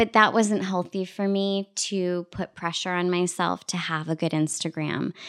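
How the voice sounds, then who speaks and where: A woman with a fairly low pitch talks at a moderate pace with fairly even intonation and hardly any pauses. The recording is very clean, with a silent background. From Canada, Scarborough (Toronto). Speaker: TV and radio presenter. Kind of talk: casual interview. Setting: at home.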